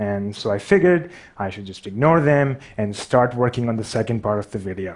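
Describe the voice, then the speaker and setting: Speaking in a Pakistani accent, a man moves at a fairly quick pace with lively intonation and big swings in loudness. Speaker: artist and graphic designer. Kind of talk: public talk. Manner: stutters.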